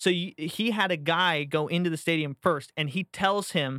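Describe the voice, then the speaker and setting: With an American accent, a man speaks in a high, bright, sharp voice with ordinary pitch variation on a very clean recording with a silent background. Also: dry, close sound with no echo. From Florida. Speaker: podcast host. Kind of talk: casual chat. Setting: studio.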